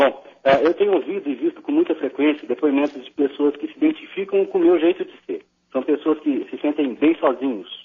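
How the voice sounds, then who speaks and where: At a fairly quick pace and with hardly any pauses, a man talks with big swings in loudness. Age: 30s. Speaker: caller. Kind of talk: phone-in question to radio psychologist. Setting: phone call. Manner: halting, many repetitions.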